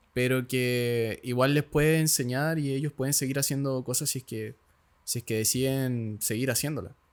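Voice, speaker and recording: With a Chilean accent, a man talks at a medium pitch with fairly even intonation. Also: moderate pace. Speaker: podcast host. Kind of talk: podcast interview.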